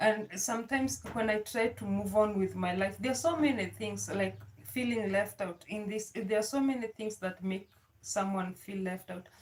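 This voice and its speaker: Her voice is somewhat breathy, sitting at a medium pitch, as the woman moves at a moderate pace with ordinary pitch variation. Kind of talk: personal vlog talk. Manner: halting.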